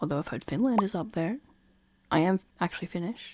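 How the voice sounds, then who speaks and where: Talking at a fairly quick pace, a woman with an Australian accent uses a fairly low pitch, vocal fry, and lively intonation. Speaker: podcaster. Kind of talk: casual monologue. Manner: casual, rambling asides.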